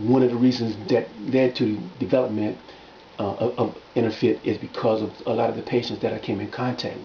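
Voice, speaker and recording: Fairly quick, monotone speech with flat intonation from a man, with noticeable background noise. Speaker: fitness and wellness coach. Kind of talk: video monologue promoting his workbook. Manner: fast; halting, many repetitions and fillers.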